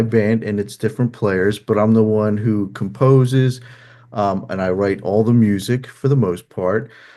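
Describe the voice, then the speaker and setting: A man talks in a strong New Jersey accent with ordinary pitch variation. The background is quiet. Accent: thick New Jersey. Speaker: musician and therapist. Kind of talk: interview. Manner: halting, many fillers.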